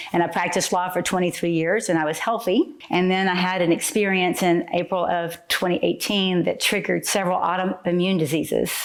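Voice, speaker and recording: A woman at a medium pitch with fairly even intonation, very even loudness and hardly any pauses, over noticeable background noise. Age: 60s. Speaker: retired attorney. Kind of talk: testimony to camera.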